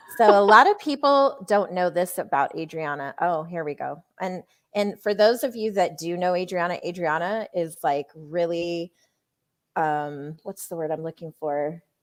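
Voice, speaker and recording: A woman speaks at a moderate pace with a fairly low pitch. The recording is very clean, with a silent background. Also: ordinary pitch variation. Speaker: co-founder of a women's media company, live show host. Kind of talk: casual live stream chat. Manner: loud; animated.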